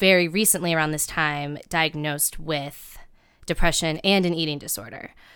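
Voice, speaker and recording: A woman speaks in a Midwestern US accent at a fairly low pitch with ordinary pitch variation. The recording is very clean, with a silent background. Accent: General American, Midwestern. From US Midwest, Cincinnati, Ohio. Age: 20s. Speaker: writer and comedian. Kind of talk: personal storytelling interview. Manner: casual, hesitant with fillers.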